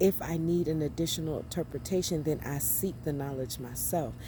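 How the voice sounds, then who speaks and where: A woman speaks at a moderate pace in a very deep, low voice with a dark, mellow tone and vocal fry. Her intonation stays fairly even, and audible room echo surrounds her. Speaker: spiritual vlogger. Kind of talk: inspirational monologue.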